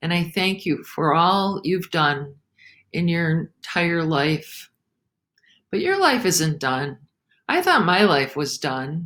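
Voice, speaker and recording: A woman speaks very slowly at a fairly low pitch, leaving long, frequent pauses. The recording is very clean, with a silent background. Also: ordinary pitch variation. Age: 70s. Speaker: author and chaplain. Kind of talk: talk to a senior community. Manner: slow, halting.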